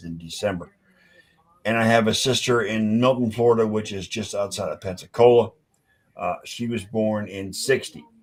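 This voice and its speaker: A man talks with an unremarkable speaking voice. It is fairly low in pitch, with fairly even intonation. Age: 50s. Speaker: sports podcast host. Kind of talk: casual chat.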